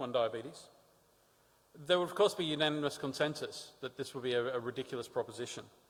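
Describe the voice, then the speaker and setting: A man talks with an Australian accent at a fairly high pitch. His pace is fairly quick. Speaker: diabetes advocate. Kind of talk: conference talk.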